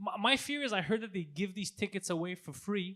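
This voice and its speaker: A bright, sharp, animated voice with lively intonation, in a very clean recording with a silent background. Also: man. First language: not French (Greek family). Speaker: comedian, podcast co-host. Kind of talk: casual chat.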